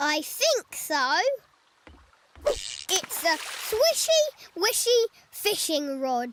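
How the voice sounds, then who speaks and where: In a cartoonish character voice, the speaker uses an extremely high pitch and a cheerful tone at a very slow pace, with long, frequent pauses. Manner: cheerful, friendly.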